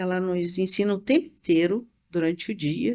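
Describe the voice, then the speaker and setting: This woman's voice sits at a medium pitch, with ordinary pitch variation and a moderate pace. The recording is very clean, with a silent background. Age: 60s. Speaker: shaman teacher. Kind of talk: interview. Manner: halting.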